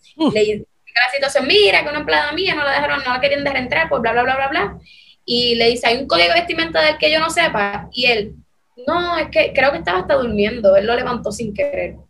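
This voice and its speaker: Talking at a fairly quick pace, a woman with a high pitch moves through very wide pitch swings. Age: young. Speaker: journalism student. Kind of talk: interview.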